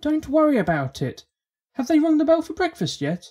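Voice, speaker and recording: Moderate pace and high pitch in a put-on character voice. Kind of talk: fan audiobook reading. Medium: read story. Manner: casual, plain-spoken, dropped words.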